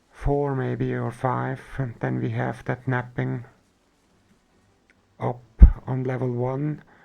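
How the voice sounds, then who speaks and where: With a German accent, a man speaks at a very slow pace, leaving long, frequent pauses. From Switzerland. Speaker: gaming streamer. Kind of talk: live gameplay stream chat.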